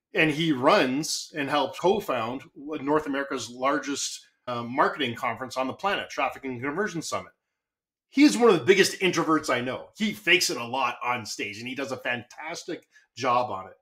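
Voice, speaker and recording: A man with a Canadian accent, a bright, sharp tone, lively intonation and big swings in loudness. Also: fairly high pitch for a man, moderate pace. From Canada. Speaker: marketing consultant. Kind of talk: podcast interview. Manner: animated.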